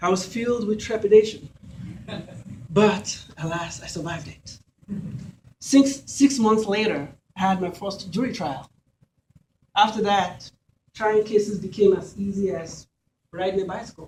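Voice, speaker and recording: A high-pitched man with a Nigerian accent at a moderate pace, with ordinary pitch variation, big swings in loudness and long, frequent pauses. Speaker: lawyer and judicial candidate. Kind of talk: campaign speech. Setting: candidates event with audience. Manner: formal.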